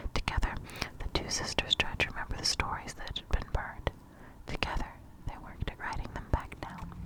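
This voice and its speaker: Someone is whispering at a fairly quick pace. Noticeable background noise can be heard. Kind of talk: ASMR whispered storybook reading. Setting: close-up microphone, page turning. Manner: whispered, soft-spoken.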